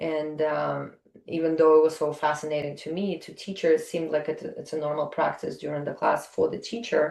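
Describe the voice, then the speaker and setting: Speaking at a fairly quick pace, a woman with a Russian accent shows big swings in loudness. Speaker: yoga teacher. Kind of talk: interview conversation. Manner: halting, many fillers.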